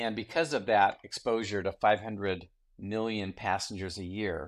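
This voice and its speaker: Recorded very cleanly against a silent background, a man with a fairly low pitch speaks in an ordinary speaking voice. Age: 60s. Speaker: entrepreneur and former state senator. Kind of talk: interview.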